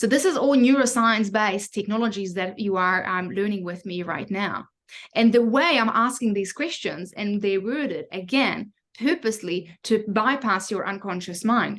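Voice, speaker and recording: This woman speaks with a non-native accent, a fairly high pitch and ordinary pitch variation. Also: moderate pace. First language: not English. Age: 30s. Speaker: mindfulness coach. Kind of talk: online class.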